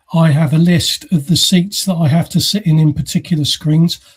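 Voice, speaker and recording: In an English accent, a man talks at a moderate pace and a high pitch with ordinary pitch variation. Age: 60s. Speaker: podcast host. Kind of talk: casual chat. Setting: live podcast recording.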